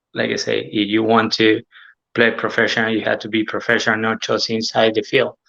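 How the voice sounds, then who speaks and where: Against a quiet background, a man talks at a fairly quick pace with an Argentine accent. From Argentina. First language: Spanish. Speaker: former professional footballer. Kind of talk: casual interview. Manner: halting, hesitant non-native English.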